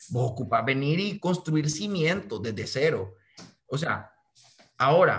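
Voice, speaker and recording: Speaking with a Honduran accent, a man with a fairly high pitch lets it swing very widely. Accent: Honduran Spanish (voseo). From Honduras. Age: 20s. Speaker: young activist and aspiring politician; interviewee. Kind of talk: interview. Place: home room. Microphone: video call.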